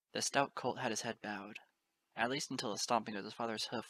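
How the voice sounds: Quiet surroundings and a natural reading voice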